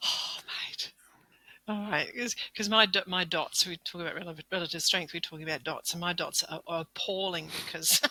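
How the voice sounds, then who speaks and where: Her unremarkable speaking voice sits at a fairly low pitch, as the woman talks at a moderate pace. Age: 60s. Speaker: masters powerlifter. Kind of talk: casual chat.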